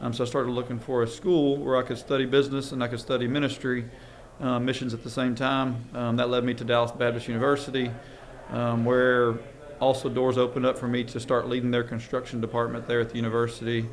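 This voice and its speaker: Audible room echo surrounds a man who talks at a very fast pace and a medium pitch, in a monotone, flat intonation. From Louisiana. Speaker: construction and land development business owner. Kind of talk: podcast interview. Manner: frequent filler ums.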